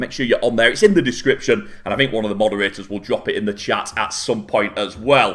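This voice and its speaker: Music plays in the background as a man speaks with a Manchester accent. His pitch swings very widely. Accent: northern English (Manchester area). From northwest England, near Manchester. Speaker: esports caster. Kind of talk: live commentary. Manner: fast.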